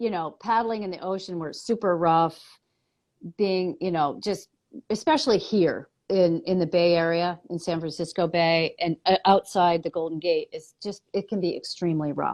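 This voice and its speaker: In an unremarkable speaking voice, a woman speaks at a moderate pace, her fairly low pitch held in fairly even intonation. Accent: American. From US East Coast. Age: 50s. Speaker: muscular therapist and paddling trainer. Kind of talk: interview conversation. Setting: live video stream.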